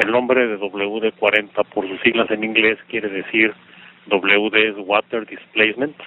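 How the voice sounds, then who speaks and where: A man speaks fairly slowly in a fairly low pitch. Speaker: regional sales and marketing manager. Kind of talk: interview. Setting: phone call. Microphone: traditional telephone line audio.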